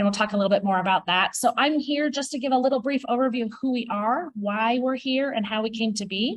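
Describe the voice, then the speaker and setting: The delivery is very fast with hardly any pauses. Pitch varies in an ordinary way. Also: woman, fairly high pitch for a woman. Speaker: utility communications director. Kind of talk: presentation. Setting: live audience at public open house. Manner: loud.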